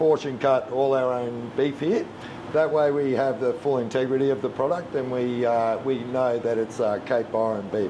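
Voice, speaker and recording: A man speaks with ordinary pitch variation amid noticeable background noise. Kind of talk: cooking demonstration tutorial. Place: kitchen.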